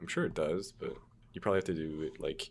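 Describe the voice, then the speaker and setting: Quiet and very fast, a man talks with a very deep, low pitch. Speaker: game developer streamer. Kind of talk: casual livestream chat.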